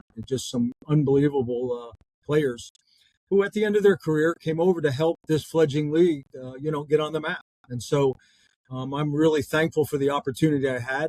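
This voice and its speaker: The sound is dry and close with no echo. A man talks at a fairly quick pace and a fairly high pitch, with ordinary pitch variation. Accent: American. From northern New Jersey, US. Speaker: former pro soccer player and college coach. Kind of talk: interview.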